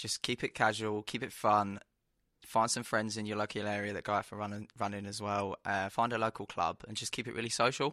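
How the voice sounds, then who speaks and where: Against a quiet background, a man with a fairly low voice and a bright, sharp tone sounds dry and close, with no echo. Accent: London. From London. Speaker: track runner. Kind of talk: interview. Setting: expo studio.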